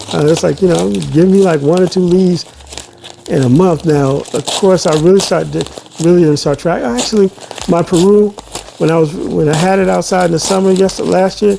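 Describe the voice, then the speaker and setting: There is noticeable background noise behind the voice. A man with an American accent speaks at a high pitch. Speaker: plant YouTuber. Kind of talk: casual unboxing chat. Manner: halting, many restarts and fillers.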